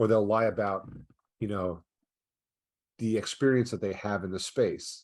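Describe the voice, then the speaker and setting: A man's fairly low voice in a New York accent, with fairly even intonation over a quiet background. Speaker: ad fraud prevention company founder. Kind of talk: podcast interview. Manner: fast.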